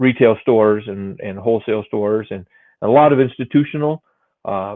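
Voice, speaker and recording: A man with an American accent and a normal speaking voice uses ordinary pitch variation, while his loudness swings widely. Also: medium pitch for a man, fairly quick pace. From Mexico (Guadalajara), American missionary family. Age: 40s. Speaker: produce sales executive. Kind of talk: interview. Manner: casual, many fillers.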